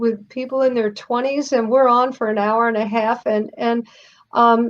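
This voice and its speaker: A woman's high voice unfolds at a fairly slow pace. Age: 60s. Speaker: youth speaker. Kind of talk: interview.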